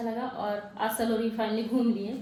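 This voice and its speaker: A soft-spoken woman with a fairly high pitch is heard with audible room echo and noticeable background noise. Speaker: vlogger, exam aspirant. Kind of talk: casual vlog. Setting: walking outdoors and hostel room. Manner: soft-spoken, low volume.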